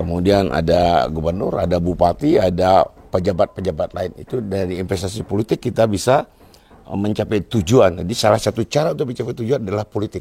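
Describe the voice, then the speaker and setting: Talking at a very fast pace, a man has a fairly low pitch with ordinary variation, and the sound is dry and close with no echo. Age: 60s. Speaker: bonsai grower. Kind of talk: casual interview.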